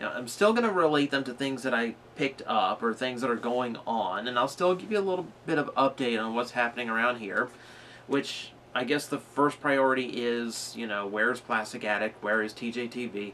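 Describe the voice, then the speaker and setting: A man holds a moderate pace and ordinary pitch variation while light background noise continues. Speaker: vlogger. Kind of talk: casual vlog chat. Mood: frustrated, serious. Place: home room.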